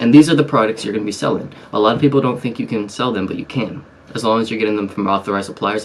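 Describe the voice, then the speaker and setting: Soft-spoken and fairly low-pitched, a man talks at a very fast pace. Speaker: online seller and business YouTuber. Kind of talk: tutorial. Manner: soft-spoken, talking low to stay quiet; casual with many fillers.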